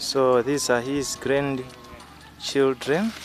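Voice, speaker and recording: At a very slow pace, a man speaks in a medium pitch with ordinary pitch variation, over noticeable background noise. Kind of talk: casual talk to camera.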